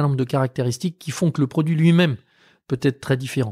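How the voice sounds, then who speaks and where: A man's voice comes through somewhat breathy. The sound is dry and close with no echo, on a very clean recording with a silent background. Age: 50s. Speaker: caviar producer. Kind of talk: interview conversation. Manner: hesitant, many fillers.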